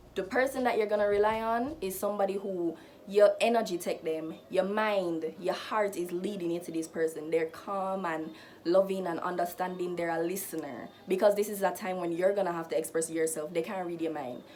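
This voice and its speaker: Noticeable background noise sits behind a woman speaking at a fairly quick pace. Her pitch is medium, with ordinary pitch variation. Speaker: lifestyle vlogger. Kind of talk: casual advice vlog.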